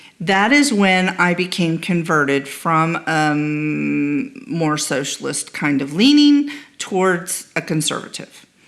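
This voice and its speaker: Speaking at a very slow pace with hardly any pauses, a woman uses a fairly low pitch and lively intonation over noticeable background noise. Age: 60s. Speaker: podcast host. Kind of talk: interview.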